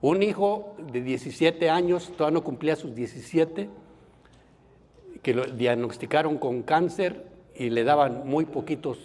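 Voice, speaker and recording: Here a man speaks with a normal speaking voice at a fairly high pitch. His pace is fairly slow, and his pitch variation is ordinary. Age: 60s. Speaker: Bible course teacher. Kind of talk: lecture.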